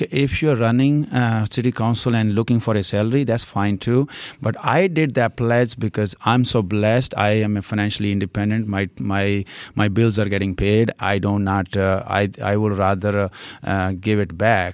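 A man speaks at a moderate pace with an Indian accent, his pitch fairly low and its variation ordinary. His loudness stays very even, and the recording is very clean with a silent background. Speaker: local political candidate. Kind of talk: interview. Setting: library recording studio. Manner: animated.

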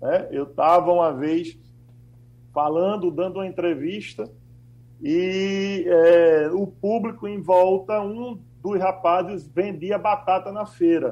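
The man's voice has a dark, mellow tone and a high pitch. He talks at a very slow pace with ordinary pitch variation. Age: 50s. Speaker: financial consultant. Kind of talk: radio panel discussion.

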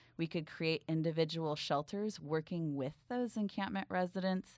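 A woman with an American accent speaks at a moderate pace. The recording is very clean, with a silent background. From US West Coast, San Francisco Bay Area. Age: 40s. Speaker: mayoral candidate. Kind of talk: political interview. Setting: studio.

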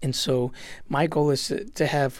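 Fairly even intonation and medium pitch in a man's unremarkable speaking voice. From Puerto Rico, raised in a US town. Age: 40s. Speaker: children's choir director. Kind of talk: radio interview. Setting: studio.

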